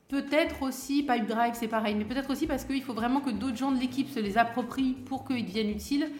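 A woman talks at a very fast pace with hardly any pauses, her pitch high and intonation fairly even. Noticeable background noise sits behind her. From France, Val-de-Marne (Paris suburbs). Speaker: cultural entrepreneur and artist manager. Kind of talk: interview conversation. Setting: studio. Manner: hesitant, many fillers and repetitions.

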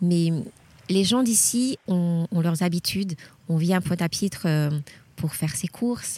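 A woman's fairly low, somewhat breathy voice with a dark, mellow tone, very even loudness, a fairly slow pace, and long, frequent pauses. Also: ordinary pitch variation, dry, close sound with no echo. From Guadeloupe. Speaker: journalist and teacher. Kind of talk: travel interview. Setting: outdoors at a memorial site. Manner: halting, repeats words.

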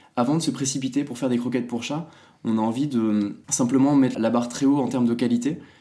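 With audible room echo, a man of medium pitch and dark, mellow tone talks at a very fast pace with fairly even intonation. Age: 20s. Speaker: startup founder. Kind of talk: interview.

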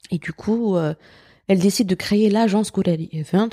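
On a very clean recording with a silent background, a woman's dark, mellow voice sounds dry and close with no echo, moving at a moderate pace with ordinary pitch variation. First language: Algerian Arabic (Darja) (speaking French). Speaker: teacher and cultural writer. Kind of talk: interview conversation.

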